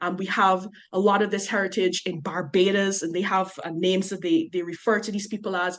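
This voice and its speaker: In a Guyanese accent, a woman at a medium pitch talks at a fairly quick pace with fairly even intonation and hardly any pauses. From Guyana. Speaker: researcher on migration. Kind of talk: podcast interview.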